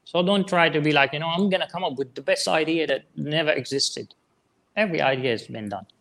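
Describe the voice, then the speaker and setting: Talking at a very fast pace, a man with vocal fry speaks in a fairly high pitch with ordinary pitch variation. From Syria. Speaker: online marketer, former hip hop artist. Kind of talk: interview.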